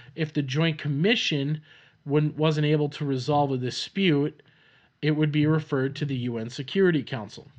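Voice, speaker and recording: Against a quiet background, a man speaks in an American accent at a moderate pace. His pitch is fairly high and his intonation fairly even. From Minnesota, US Upper Midwest. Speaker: podcast host, farmer. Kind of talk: casual solo podcast monologue, personal storytelling. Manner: casual, rambling, with filler words and laughs.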